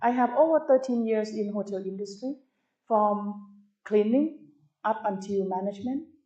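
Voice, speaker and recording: Her tone is dark and mellow, and this woman's pitch sits fairly high. She keeps a moderate pace with ordinary pitch variation. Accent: Thai. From Thailand. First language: Thai. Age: 50s. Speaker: tourism professor. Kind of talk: lecture. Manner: animated.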